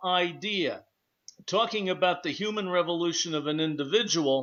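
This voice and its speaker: Moderate pace and ordinary pitch variation from a man with a high voice. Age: 60s. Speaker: radio talk show host. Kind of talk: radio discussion show.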